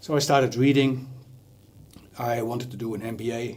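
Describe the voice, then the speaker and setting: In a Dutch accent, a man talks at a fairly slow pace. His voice is somewhat breathy. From Netherlands. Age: 60s. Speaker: leadership coach. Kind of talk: TV interview.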